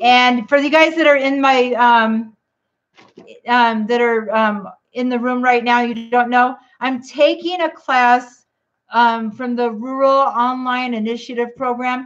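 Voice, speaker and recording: A loud woman's high pitch, fairly slow pace and fairly even intonation. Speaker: keto vlogger. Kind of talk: casual livestream chat.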